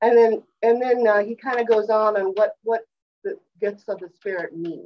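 A woman's speech moves at a moderate rate. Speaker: class teacher sharing slides. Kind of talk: class discussion lecture. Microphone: video call.

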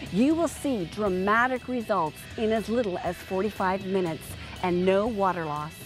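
Over clear music in the background, an upbeat voice with lively intonation moves at a moderate pace in a dry sound with no echo. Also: woman. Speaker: product presenter. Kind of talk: TV commercial read. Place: garden. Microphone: lapel.

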